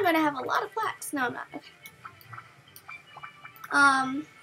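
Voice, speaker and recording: With music in the background, a woman talks, her pitch moving in an ordinary way. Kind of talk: casual gameplay commentary. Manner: upbeat.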